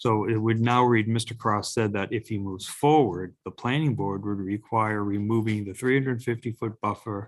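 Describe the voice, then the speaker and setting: Moderate pace and fairly even intonation. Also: man, fairly low pitch for a man. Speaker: zoning board chair. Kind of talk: public meeting discussion. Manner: mumbling.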